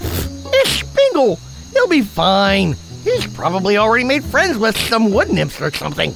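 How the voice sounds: A cartoonish character voice moves at a moderate pace over clear music in the background.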